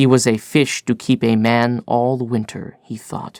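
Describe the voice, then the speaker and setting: A man with an American accent speaks very slowly at a medium pitch in a flat monotone. The recording is very clean with a silent background and a dry, close sound with no echo. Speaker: actor, audiobook reader. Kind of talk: audiobook narration.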